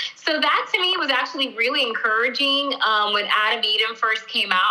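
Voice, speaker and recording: Her voice high, a woman with an American accent talks at a moderate pace with ordinary pitch variation against noticeable background noise. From Miami, Florida. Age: 40s. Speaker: ministry founder. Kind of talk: interview testimony.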